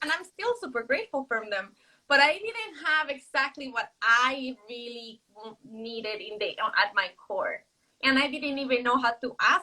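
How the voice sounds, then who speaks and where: In a Mexican accent, the speaker uses a raised, projected voice with a bright, sharp tone, lively intonation, a moderate pace and big swings in loudness. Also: woman, high pitch for a woman. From Mexico City. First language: Spanish. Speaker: author. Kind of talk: casual chat. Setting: livestream video call.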